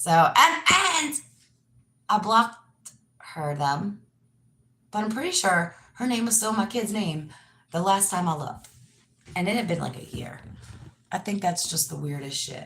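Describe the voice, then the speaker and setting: A woman speaks loudly and animatedly at a medium pitch, her tone bright and sharp with very wide pitch swings. She talks at a fairly slow pace with long, frequent pauses. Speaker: yoga teacher and live streamer. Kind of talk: casual live stream monologue. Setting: live stream.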